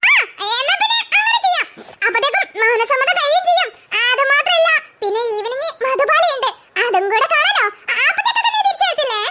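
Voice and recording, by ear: A squeaky, cartoonish character voice at an extremely high pitch moves along at a moderate pace.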